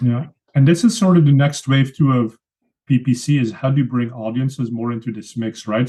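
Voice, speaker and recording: The tone is dark and mellow, with a slight Belgian accent. Pitch varies in an ordinary way. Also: man. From Belgium (Flanders). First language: Flemish (Dutch). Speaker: pay-per-click advertising expert, software founder. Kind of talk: podcast interview.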